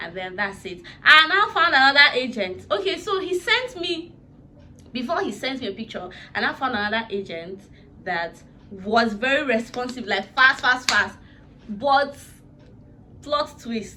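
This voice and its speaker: Animated in tone, a woman speaks at a high pitch with very wide pitch swings and big swings in loudness. She goes at a fairly slow pace with long, frequent pauses over noticeable background noise. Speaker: YouTuber, vlogger. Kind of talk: casual vlog storytelling.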